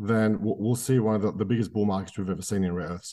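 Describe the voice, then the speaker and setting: Recorded very cleanly against a silent background, a man talks with an Australian accent. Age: 30s. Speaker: microcap investor and property landlord. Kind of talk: interview.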